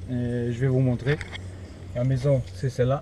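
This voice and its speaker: Dark and mellow in tone, the man's voice is also somewhat breathy. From Portugal. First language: Portuguese (speaking French). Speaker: paranormal investigator YouTuber. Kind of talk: vlog to camera. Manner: halting, many hesitations.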